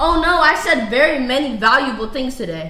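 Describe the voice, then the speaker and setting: A woman's raised, projected voice carries with audible room echo. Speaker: dating show guest. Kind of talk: heated debate. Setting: studio. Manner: loud.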